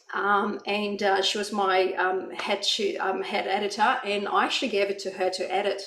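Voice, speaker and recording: Speaking at medium pitch, a woman is heard with audible room echo and noticeable background noise. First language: not English. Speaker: author. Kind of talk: panel discussion. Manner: hesitant, many fillers.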